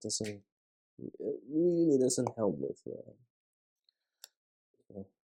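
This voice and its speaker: A man mumbles at a very slow pace, leaving long, frequent pauses. His loudness swings widely. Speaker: LEGO vlogger. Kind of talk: casual building vlog commentary. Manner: mumbling; halting, many fillers.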